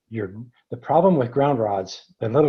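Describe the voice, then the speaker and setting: A man is speaking. His voice is somewhat breathy. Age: 70s. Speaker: earthing advocate and product developer. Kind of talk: webinar Q&A. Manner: halting.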